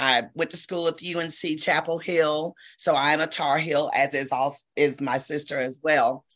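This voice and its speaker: A woman with a very deep, low voice talks at a fairly slow pace and keeps her intonation fairly even. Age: 60s. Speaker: retired educator, lung cancer survivor. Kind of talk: interview.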